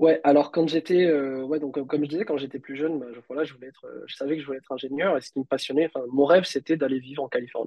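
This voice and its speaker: Speaking at a very fast pace, a man with a fairly high pitch keeps his intonation fairly even while his loudness swings widely. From Réunion. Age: 30s. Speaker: software engineer and entrepreneur. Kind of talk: casual interview.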